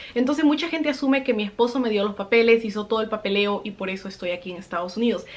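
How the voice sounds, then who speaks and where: Over noticeable background noise, a woman speaks at a very fast pace with a fairly high pitch and lively intonation. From Peru. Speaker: vlogger. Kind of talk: personal storytelling vlog.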